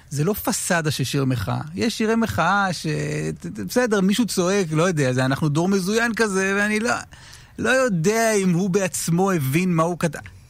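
Against audible room echo, a man with a high pitch speaks at a moderate pace with lively intonation and very even loudness. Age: 30s. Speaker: radio host. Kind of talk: casual interview. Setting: radio studio.

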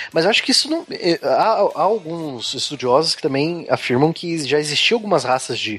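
A man speaks at a moderate speed, with noticeable noise in the background. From southern Brazil, Curitiba (Paraná). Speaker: science podcast co-host. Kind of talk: casual chat.

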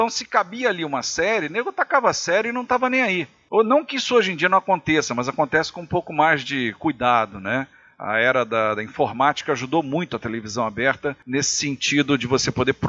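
With lively intonation and a fairly quick pace, a man talks in an unremarkable speaking voice. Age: 50s. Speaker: former TV programming executive. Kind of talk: casual chat.

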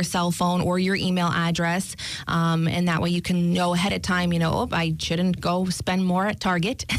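A woman's fairly low voice with a slight New York accent, monotone flat intonation, very even loudness, a moderate pace, and hardly any pauses. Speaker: banking specialist. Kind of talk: casual interview.

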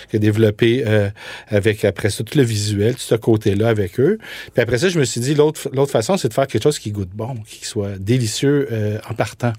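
A man speaks at a moderate pace in a medium pitch with a dark, mellow, somewhat breathy tone and ordinary pitch variation. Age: 40s. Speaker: food entrepreneur. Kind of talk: interview.

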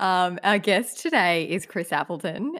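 With an Australian accent, a woman speaks at a medium pitch with lively intonation. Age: 20s. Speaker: podcast co-host. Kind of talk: casual chat.

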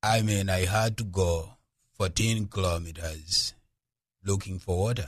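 A man speaks in a fairly low, somewhat breathy voice with fairly even intonation and long, frequent pauses against a quiet background. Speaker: charity founder. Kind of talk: radio interview.

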